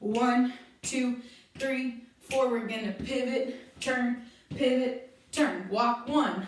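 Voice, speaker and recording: A woman's loud, high-pitched voice at a very slow pace, with audible room echo. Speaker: dance teacher. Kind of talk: tutorial. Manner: animated.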